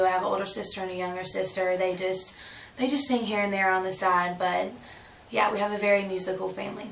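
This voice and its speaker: With a Southern US accent, a woman speaks at a medium pitch in a flat, monotone way. Her voice carries audible room echo and noticeable background noise. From US South, South Carolina and Georgia. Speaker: country singer-songwriter. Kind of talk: interview.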